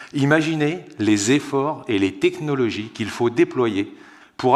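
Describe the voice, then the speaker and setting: Speaking at a medium pitch with ordinary pitch variation, a man uses an unremarkable speaking voice. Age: 30s. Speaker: water treatment engineer. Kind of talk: conference talk. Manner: formal.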